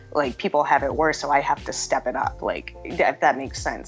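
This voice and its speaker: Background music plays throughout. Over it, a woman talks at a moderate speed. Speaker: MMA fighter. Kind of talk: interview answer. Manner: soft, gentle-sounding.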